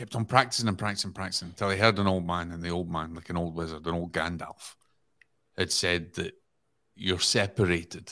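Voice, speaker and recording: With a Scottish accent, a man speaks at a fairly quick pace in a very deep, low pitch with a bright, sharp tone, on a very clean recording with a silent background. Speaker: podcast guest. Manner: storytelling, earnest.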